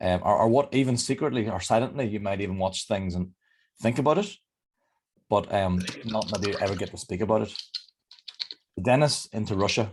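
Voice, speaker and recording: Speaking at a fairly quick pace with long, frequent pauses, a man with a Northern Irish accent uses a fairly low pitch and ordinary pitch variation. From Northern Ireland. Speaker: leadership development coach. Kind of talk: interactive online workshop talk. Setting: video call. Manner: fast.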